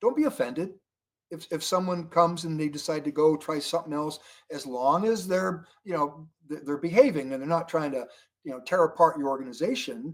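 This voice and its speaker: Lively in intonation, a man talks at a fairly quick pace in a plain, everyday voice with a fairly high pitch. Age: 60s. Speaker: network marketing leader. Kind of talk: interview. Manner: conversational, many fillers.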